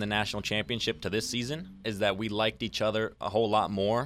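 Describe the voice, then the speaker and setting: A man with an American accent has an unremarkable speaking voice, fairly low in pitch, with fairly even intonation. He talks at a fairly quick pace in a very clean recording with a silent background. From Arizona. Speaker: college soccer player and radio intern. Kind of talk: casual chat.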